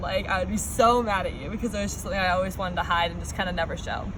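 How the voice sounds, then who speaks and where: A woman talks at a very fast pace. The room echo is audible, and there is noticeable background noise. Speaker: college student talking about dyslexia. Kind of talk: personal talk to students. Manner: casual, many filler words.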